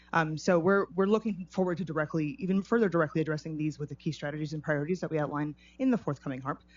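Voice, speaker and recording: At a very fast pace with hardly any pauses, a woman talks in a very deep, low pitch with ordinary variation. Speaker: city climate office staff presenter. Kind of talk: public meeting presentation. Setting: city commission meeting. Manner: halting, many fillers.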